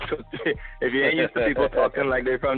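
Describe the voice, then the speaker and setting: Music plays in the background. A man speaks with an American accent. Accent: Trinidadian accent he can switch on and off. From Brooklyn, New York, Caribbean family. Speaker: actor. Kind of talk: casual chat. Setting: phone call.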